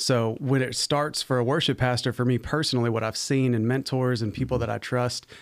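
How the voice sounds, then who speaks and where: A man with an American accent, a normal speaking voice, medium pitch, fairly even intonation and a moderate pace. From Arizona, US (also lived in Virginia). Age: young. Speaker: pastor of worship. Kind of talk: casual chat. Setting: studio.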